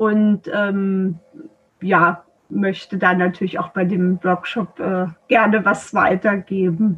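A woman speaks very slowly, somewhat breathy, with monotone, flat intonation. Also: medium pitch for a woman. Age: 40s. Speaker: traditional Chinese medicine practitioner. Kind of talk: interview. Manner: hesitant, many filler sounds.

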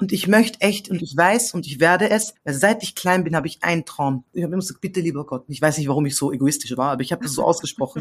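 At a very fast pace with hardly any pauses, a woman with a fairly low pitch speaks in an animated tone and lively intonation. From Austria. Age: 30s. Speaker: singer-songwriter. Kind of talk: casual interview chat.

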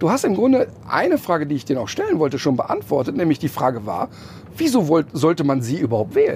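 A man talking at a very fast pace, fairly high in pitch, with very wide pitch swings. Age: 50s. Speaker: animal welfare presenter. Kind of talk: interview. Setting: in a tour bus.

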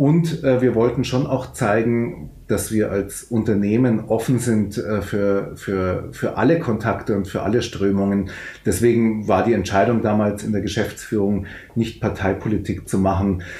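The voice is dark, mellow and somewhat breathy, moving at a fairly slow pace with ordinary pitch variation. Audible room echo surrounds it. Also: man, fairly low pitch for a man. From Upper Bavaria, Fürstenfeldbruck near Munich. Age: 50s. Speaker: club owner and city councillor. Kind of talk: interview. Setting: video call.

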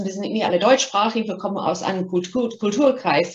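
Somewhat breathy woman's voice at medium pitch, fairly quick in pace, with ordinary pitch variation. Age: 50s. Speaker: marketing executive. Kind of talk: interview.

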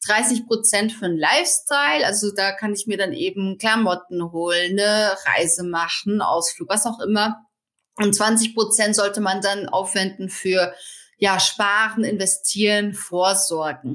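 At a fairly slow pace, this bright, sharp voice shows ordinary pitch variation. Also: woman, medium pitch for a woman. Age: 30s. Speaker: finance blogger and author. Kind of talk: podcast interview.

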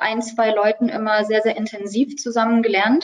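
A woman at a moderate pace, her pitch fairly high. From Saxony, Dresden. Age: 20s. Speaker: pharmacy student. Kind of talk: interview. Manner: hesitant, many filler sounds.

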